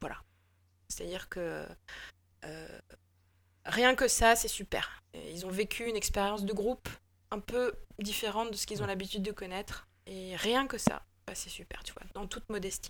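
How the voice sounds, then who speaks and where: A woman at a medium pitch and moderate pace, with ordinary pitch variation, big swings in loudness, and long, frequent pauses. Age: 40s. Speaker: improv actor. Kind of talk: casual interview. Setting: remote call.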